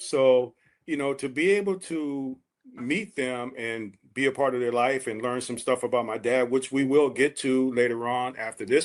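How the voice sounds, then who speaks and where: Over a quiet background, a man speaks at a medium pitch in an unremarkable speaking voice. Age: 60s. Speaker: podcast co-host. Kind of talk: casual chat.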